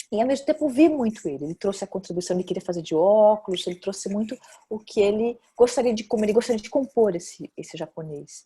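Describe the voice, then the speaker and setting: A woman with a Brazilian accent, fairly high-pitched yet dark and mellow in tone, somewhat breathy, at a fairly quick pace, with lively intonation and big swings in loudness. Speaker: actress and film director. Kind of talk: interview. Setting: video call. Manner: hesitant, many fillers.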